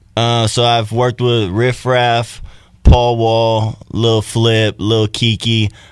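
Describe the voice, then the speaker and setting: Very slow and monotone, a man with an American accent talks in a medium pitch with flat intonation. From Texas, Buda near Austin. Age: 20s. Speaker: rapper. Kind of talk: casual interview.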